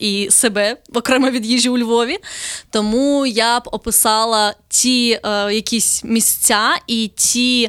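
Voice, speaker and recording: A woman's fairly high voice, an unremarkable speaking voice with fairly even intonation, in a very clean, dry, close recording with no echo and a silent background. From southern Ukraine. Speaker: travel blogger. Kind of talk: casual interview.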